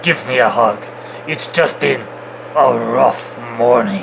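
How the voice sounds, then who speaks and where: A man's put-on character voice at a medium pitch, fairly slow pace, with clear background noise behind it. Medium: read story. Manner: cold, controlled.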